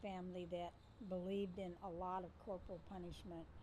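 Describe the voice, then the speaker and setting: In a room with audible echo, a woman speaks at a moderate pace, her somewhat breathy voice dark and mellow in tone, with monotone, flat intonation. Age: 60s. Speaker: mother and grandmother interviewed about family. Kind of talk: interview storytelling.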